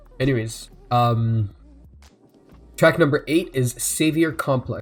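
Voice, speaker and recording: Music plays in the background as a man with a fairly high voice talks at a very slow pace, using ordinary pitch variation. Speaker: music reaction youtuber. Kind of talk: live album reaction and review. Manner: halting, many fillers; self-described slurring.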